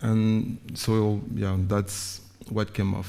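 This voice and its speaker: A man with a fairly low pitch speaks in a dark, mellow tone with monotone, flat intonation. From Guadeloupe, later Paris. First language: Guadeloupean Creole / French. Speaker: visual artist. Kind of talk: artist talk presentation.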